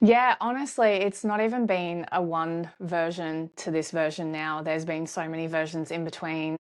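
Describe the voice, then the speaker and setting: Against a quiet background, a woman speaks. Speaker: content creator, podcast guest. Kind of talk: casual chat. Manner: lower, embodied speaking than before.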